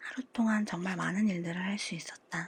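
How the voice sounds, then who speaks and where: A calm, somewhat breathy voice at a fairly slow pace, with fairly even intonation. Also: woman. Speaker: audiobook reader. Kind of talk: audiobook reading for sleep. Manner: calm, soft-spoken.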